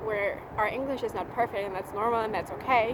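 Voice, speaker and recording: Against noticeable background noise, someone talks at a very fast pace with a slight German accent and ordinary pitch variation. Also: woman. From Germany. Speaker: au pair vlogger. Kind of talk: casual vlog monologue.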